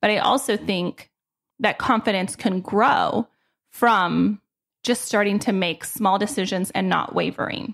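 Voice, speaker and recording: Very clean with a silent background, this recording holds a woman of medium pitch with vocal fry. She goes at a fairly slow pace, with ordinary pitch variation and very even loudness. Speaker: podcast host and general contractor. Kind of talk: solo podcast monologue.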